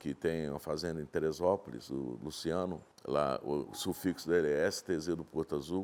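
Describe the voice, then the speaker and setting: Very deep and low in pitch, a man speaks in a dark, mellow tone at a fairly slow pace. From Brazil, Minas Gerais (Vale do Rio Doce), raised in Espírito Santo from childhood. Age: 60s. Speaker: horse breeder and rancher. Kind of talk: interview.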